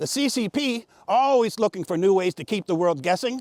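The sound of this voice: This is an unforced reading voice with lively intonation.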